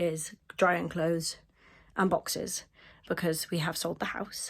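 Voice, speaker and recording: With an English accent, the voice comes through in a very clean recording with a silent background. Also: woman. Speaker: historical reenactment vlogger. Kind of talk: casual vlog. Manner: hesitant, many fillers.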